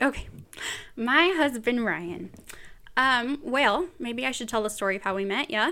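A woman with an American accent and a high voice speaks fairly slowly, with long, frequent pauses and lively intonation. Her tone is bright, sharp and animated, in a very clean recording with a silent background. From US West Coast (Bakersfield, California, Central Valley). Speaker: podcast host. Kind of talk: casual chat. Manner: animated, frequent laughter.

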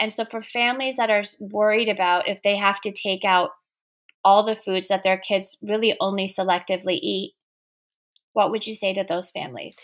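A woman with an ordinary speaking voice, medium pitch, fairly even intonation and a moderate pace. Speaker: podcast host. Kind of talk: casual interview.

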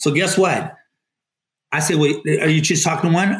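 A man with a normal speaking voice talks at a fairly quick pace and a fairly high pitch. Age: 50s. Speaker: real estate team lead, retired army veteran. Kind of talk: casual interview.

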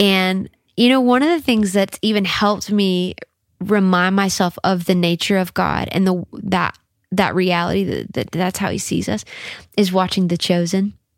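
Moderate pace and fairly even intonation with an American accent. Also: woman, medium pitch for a woman. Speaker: worship leader and singer. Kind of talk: casual interview chat. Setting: home studio.

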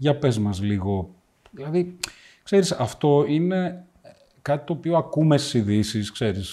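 Dark and mellow in tone yet fairly high in pitch, a man speaks at a fairly slow pace with very wide pitch swings and long, frequent pauses. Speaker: podcast host, business owner. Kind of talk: interview.

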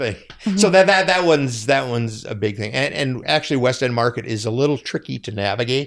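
A man speaks at a medium pitch with hardly any pauses. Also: fairly quick pace. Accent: Upper Midwest. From Minnesota, Twin Cities area. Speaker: fair volunteer and foundation worker. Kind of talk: casual chat. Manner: halting.

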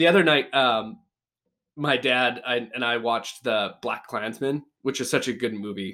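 A plain, everyday voice from a man with a Canadian accent, medium pitch, ordinary pitch variation and a fairly slow pace. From Canada. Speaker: podcast co-host. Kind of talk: casual chat.

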